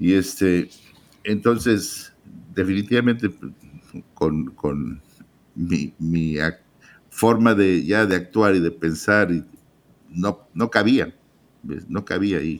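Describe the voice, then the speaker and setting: Very deep and low, a man's voice moves at a very slow pace with ordinary pitch variation. Long pauses come often. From Mexico, Guadalajara. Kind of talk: testimony.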